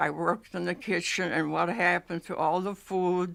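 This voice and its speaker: In an American accent, a woman speaks at a moderate pace with a fairly low pitch and monotone, flat intonation on a very clean recording with a silent background. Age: 80s+. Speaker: oral history interviewee. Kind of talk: oral history interview. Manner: halting.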